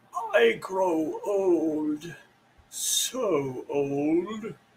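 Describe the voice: The pitch rests in the middle range. The voice is a put-on character voice.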